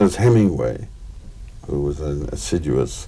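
Moderate pace and a dark, mellow tone from a male speaker. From England. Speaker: actor and raconteur. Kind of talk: interview answer. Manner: hesitant, wry. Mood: witty, wry anecdotal. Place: studio.

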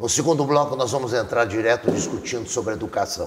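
Talking at a moderate pace, a man is heard with noticeable noise in the background. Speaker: TV interviewer. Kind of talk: TV interview. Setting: studio.

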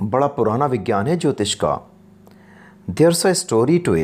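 Here a man is talking. The pitch of his voice rises and falls very widely. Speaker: English teacher. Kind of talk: lecture. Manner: bilingual line-by-line translation.

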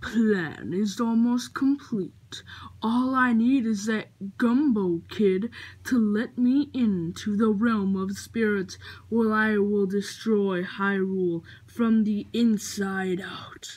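At a very slow pace, a female-sounding voice uses a put-on character voice with medium pitch. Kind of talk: comic stuffed-animal play. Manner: menacing, boastful.

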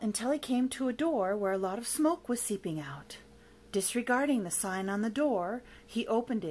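Plain reading, done aloud

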